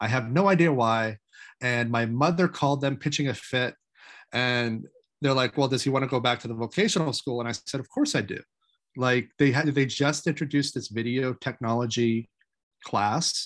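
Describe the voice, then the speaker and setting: Against a quiet background, a man speaks with an American accent at a moderate pace. He has an ordinary speaking voice. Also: medium pitch for a man, ordinary pitch variation. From Maine, US. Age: 40s. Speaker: independent filmmaker. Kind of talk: interview.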